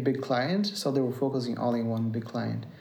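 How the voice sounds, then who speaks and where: A man's flat, monotone voice in a Brazilian accent, with audible room echo. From Brazil, near São Paulo. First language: Portuguese. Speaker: musician. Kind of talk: casual chat. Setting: at home. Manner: halting.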